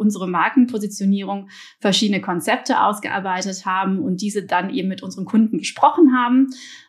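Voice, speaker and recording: A woman talks at a fairly quick pace in a medium pitch with ordinary pitch variation. Her voice is somewhat breathy. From Belgium, partly raised in Germany. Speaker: marketing executive. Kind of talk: podcast interview. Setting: remote recording. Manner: hesitant, many fillers.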